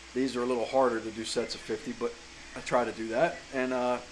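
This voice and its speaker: Against noticeable background noise, a man talks at a moderate pace. His medium pitch stays in a monotone, flat intonation. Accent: Southern US. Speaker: chainsaw carver. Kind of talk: casual vlog advice talk. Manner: casual, with fillers and self-corrections.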